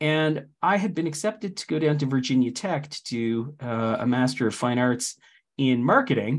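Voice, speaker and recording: Against a quiet background, a man with a Canadian accent speaks at a moderate pace in an ordinary speaking voice, fairly high in pitch with lively intonation. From Canada. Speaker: technology director and open source community organizer. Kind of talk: interview.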